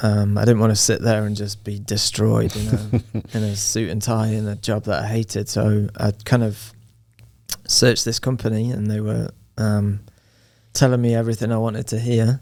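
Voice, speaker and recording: The speaker has an English accent and a dark, mellow tone. The pace is moderate and the intonation monotone and flat. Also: man, fairly low pitch for a man. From Nottingham, England. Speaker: soccer coach. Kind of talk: podcast interview answer.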